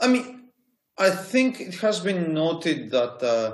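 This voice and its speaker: A man with a Greek accent. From Greece. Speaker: university lecturer. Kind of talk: interview. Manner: halting.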